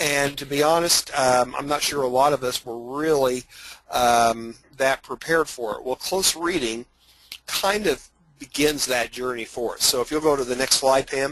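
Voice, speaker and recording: At a moderate pace, a man with an Indiana accent speaks at medium pitch with ordinary pitch variation. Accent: Hoosier twang. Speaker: teacher and author. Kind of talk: webinar presentation. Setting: online webinar. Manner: hesitant, many fillers.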